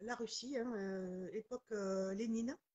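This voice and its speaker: A woman talks with a southwestern French accent. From southwestern France, near Toulouse, Pyrenees. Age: 40s. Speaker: author. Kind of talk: interview.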